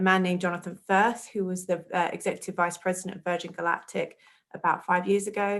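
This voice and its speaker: A woman with an English accent at a very fast pace, on a very clean recording with a silent background. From southern England, outside London. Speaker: public relations coordinator. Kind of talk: career interview talk. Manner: hesitant, many ums.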